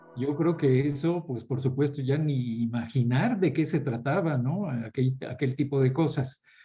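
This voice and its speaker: A man with a fairly high pitch and ordinary pitch variation talks while music plays in the background. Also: fairly slow pace, hardly any pauses. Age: 70s. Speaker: architect and professor. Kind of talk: panel discussion.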